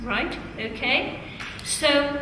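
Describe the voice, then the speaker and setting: A woman projects her voice in a high, raised pitch. The room echoes audibly, and background noise is noticeable. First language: Italian. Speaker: teacher trainer. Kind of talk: classroom teaching.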